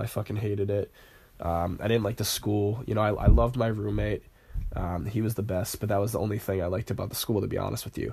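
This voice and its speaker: With an American accent, a man speaks at a very fast pace with a fairly low pitch, a dark, mellow tone, fairly even intonation and vocal fry. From Rhode Island, US. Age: young. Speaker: podcast host, college student. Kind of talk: casual monologue. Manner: hesitant, many fillers.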